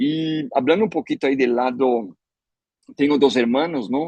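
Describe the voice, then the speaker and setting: This man has a medium-pitched voice and lively intonation, recorded with a dry, close sound that has no echo. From Brazil. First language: Portuguese (speaking Spanish). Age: 50s. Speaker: agronomist, chemical industry professional. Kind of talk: webinar talk. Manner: halting, many fillers and repetitions.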